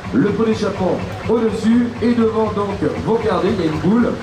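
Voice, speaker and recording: Noticeable background noise surrounds a man who talks at a moderate pace. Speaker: parade announcer. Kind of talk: event commentary. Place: street.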